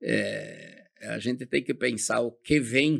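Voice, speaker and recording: A man speaks with vocal fry. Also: very clean recording, silent background. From southern Brazil, Rio Grande do Sul. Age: 70s. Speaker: company founder. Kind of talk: interview.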